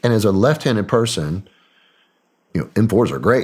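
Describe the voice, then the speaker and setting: Speaking at a fairly quick pace, a man talks with a Southern accent. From Arkansas, US South. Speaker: former special operations soldier and CIA contractor. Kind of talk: casual interview chat.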